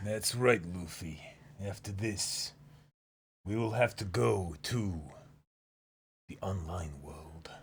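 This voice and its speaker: A man's put-on character voice, very deep and raspy, with lively intonation, a very slow pace and long, frequent pauses. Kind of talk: comedic role-play banter.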